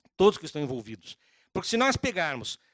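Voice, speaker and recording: A man's voice, dry and close with no echo. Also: very clean recording, silent background. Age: 60s. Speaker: law professor and lawyer. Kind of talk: lecture.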